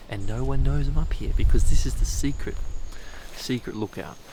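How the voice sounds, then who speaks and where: Quiet and at a moderate pace, a man with an Australian accent speaks over noticeable background noise. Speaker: photography vlogger. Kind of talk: vlog to camera. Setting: outdoors at mountain lookout. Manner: speaking quietly; casual.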